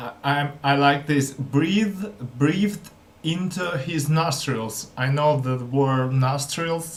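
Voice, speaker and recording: A man talks at a very slow pace with a non-native accent and a fairly high pitch. Audible room echo is present. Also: ordinary pitch variation. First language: not English. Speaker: language learner vlogger. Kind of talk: casual vlog commentary. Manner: halting.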